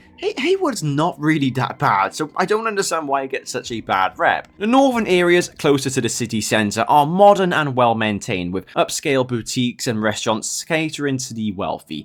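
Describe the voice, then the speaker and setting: The speech is fairly quick with hardly any pauses, in a Welsh accent. Its pitch swings very widely. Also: man. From Wales. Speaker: gaming YouTuber. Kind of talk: scripted video essay commentary.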